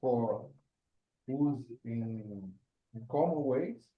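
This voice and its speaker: The delivery is very slow. Audible room echo surrounds the voice. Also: man. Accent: Portuguese. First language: Portuguese. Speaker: forth programmer asking a question. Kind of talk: Q&A in online meeting. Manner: halting, hesitant.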